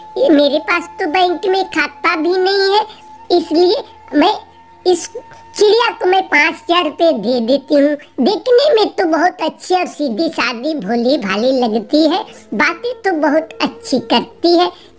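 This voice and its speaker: A cartoonish character voice at an extremely high pitch speaks at a fairly slow pace over clear background music. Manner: simple, earnest.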